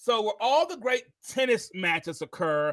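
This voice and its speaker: A man speaks in a high voice with an energetic tone and lively intonation, recorded very cleanly against a silent background. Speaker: podcast host. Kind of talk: podcast interview.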